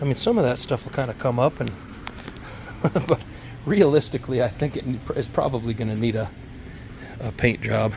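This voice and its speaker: Over noticeable background noise, a man at medium pitch talks at a fairly quick pace with ordinary pitch variation and long, frequent pauses. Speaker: car restoration youtuber. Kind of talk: casual video walkthrough. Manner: casual, hesitant with fillers.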